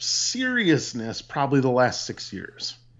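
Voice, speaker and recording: A man with an Upper Midwest accent, fairly high in pitch, at a moderate pace. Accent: Upper Midwest American. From US Midwest (Peshtigo, Wisconsin). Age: 30s. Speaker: teacher. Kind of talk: casual chat.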